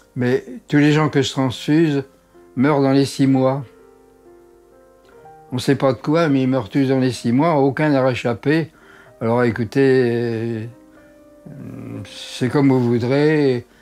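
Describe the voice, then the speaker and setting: A man at medium pitch, very slow with long, frequent pauses and very even loudness, music in the background. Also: fairly even intonation. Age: 80s+. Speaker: doctor. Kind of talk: interview storytelling.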